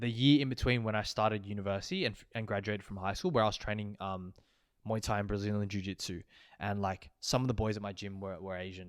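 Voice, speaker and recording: Speech comes at a very fast pace in an Australian accent, with fairly even intonation but big swings in loudness. The recording is very clean, with a silent background. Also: man, fairly low pitch for a man. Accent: normal Australian. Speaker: podcast co-host. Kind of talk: casual chat. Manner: casual, many fillers.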